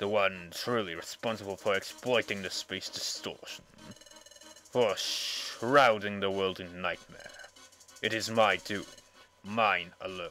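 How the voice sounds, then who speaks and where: A man speaks at a fairly low pitch and a fairly slow pace, with fairly even intonation and long, frequent pauses. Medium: game stream. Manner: cold, gloating, menacing.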